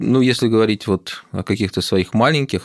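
The recording of a man is very clean with a silent background and a dry, close sound with no echo. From Moscow, Russia. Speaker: imam and theologian. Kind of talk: interview conversation. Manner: measured, with many filler words.

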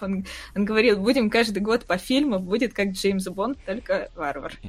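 A woman with an ordinary speaking voice talks at a fairly slow pace and medium pitch, with ordinary pitch variation. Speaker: invited expert on the fantasy books. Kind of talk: casual chat. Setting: video call.

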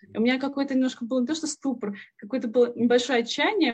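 A woman's high-pitched voice. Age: 30s. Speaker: former accountant turned programmer. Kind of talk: interview.

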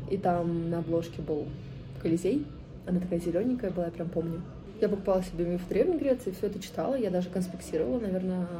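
A woman's fairly low voice at a very fast pace, with noticeable background noise and audible room echo. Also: ordinary pitch variation. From Moscow, Russia. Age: 20s. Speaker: podcast host. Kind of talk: solo podcast monologue.

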